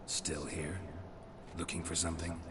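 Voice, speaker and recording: Someone uses a put-on character voice at a moderate pace. There is clear echo and loud background noise. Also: man. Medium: machinima. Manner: terse, deadpan.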